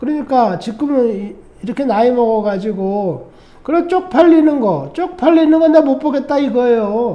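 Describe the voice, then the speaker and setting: A man with an extremely high pitch talks at a moderate pace with lively intonation. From South Korea. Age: 60s. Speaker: vlogger, Korean emigrant. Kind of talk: monologue vlog. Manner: animated.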